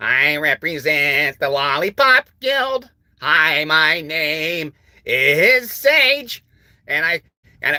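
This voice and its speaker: A put-on character voice, squeaky and at a middle pitch, drags along at a very slow pace. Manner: mocking.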